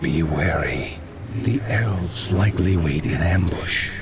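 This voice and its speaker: A put-on character voice speaks at a fairly slow pace over clear background noise. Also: man, very deep, low pitch for a man. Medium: machinima. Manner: cunning, conspiratorial.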